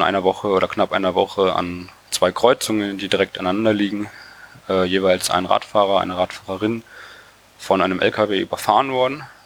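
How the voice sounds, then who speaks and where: Here a man speaks with a fairly low pitch. Noticeable background noise is present. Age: 20s. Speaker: cycling activist and engineering student. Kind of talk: casual interview.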